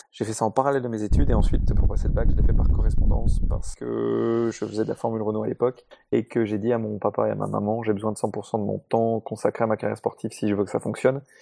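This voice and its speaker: A man at a very fast pace with hardly any pauses, in a dry, close sound with no echo. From Paris, France. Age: 30s. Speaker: racing driver and driver coach. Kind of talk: casual panel discussion.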